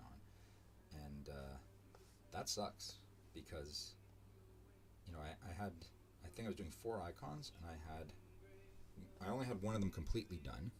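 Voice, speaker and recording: A man with a very deep, low voice and vocal fry speaks with very wide pitch swings and long, frequent pauses. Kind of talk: casual live-stream commentary while drawing. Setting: live stream from home. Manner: rambling, hesitant with many fillers; mumbling, trailing off. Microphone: too quiet at first, volume raised.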